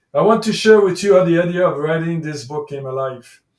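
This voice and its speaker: A man's high voice at a fairly quick pace, with a French accent. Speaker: life coach and author. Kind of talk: reading aloud own book with commentary.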